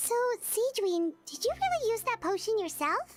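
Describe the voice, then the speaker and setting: Faint music plays behind a woman doing a put-on character voice that is squeaky and extremely high in pitch. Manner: surprised.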